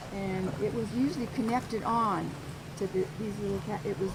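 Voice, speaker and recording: Noticeable background noise and audible room echo around a woman in an American accent. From Idaho, US. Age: 70s. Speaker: tour guide. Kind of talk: walking tour talk. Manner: halting.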